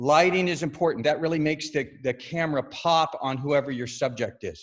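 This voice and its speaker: Here a man speaks at a moderate pace. His voice is fairly high in pitch. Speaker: yoga studio owner. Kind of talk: webinar presentation. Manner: loud; casual, animated.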